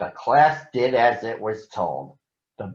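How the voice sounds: Behind the voice, the setting is quiet. A natural reading voice carries ordinary pitch variation.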